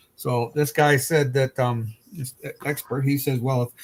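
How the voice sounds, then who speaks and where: Pitch varies in an ordinary way in this somewhat breathy voice. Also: man. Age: 60s. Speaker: streamer and hobby modeler, retired. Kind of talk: casual chat.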